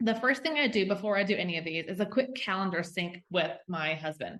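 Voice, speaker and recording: A woman's fairly quick speech with a Southern US accent and lively intonation. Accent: Southern US twang. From US South. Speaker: health and fitness coach. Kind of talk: podcast interview. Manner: enthusiastic, casual.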